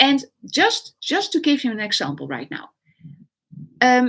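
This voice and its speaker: A raised, projected voice with a bright, sharp tone and very wide pitch swings. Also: woman. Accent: Dutch. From Netherlands. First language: Dutch. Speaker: online business coach. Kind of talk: live stream talk. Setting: livestream. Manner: halting, many fillers.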